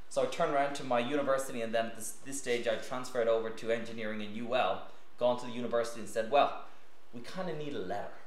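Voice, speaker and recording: A man rushes through his words at a very fast pace amid audible room echo. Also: medium pitch for a man. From Ireland, County Meath. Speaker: physician and scientist giving a talk on astronaut training. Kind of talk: lecture. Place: meeting room.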